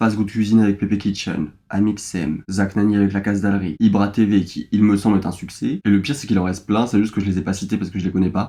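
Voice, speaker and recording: The voice moves at a very fast pace with a dark, mellow tone and hardly any pauses. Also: man, fairly low pitch for a man. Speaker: YouTuber. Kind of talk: casual talk to camera. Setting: studio.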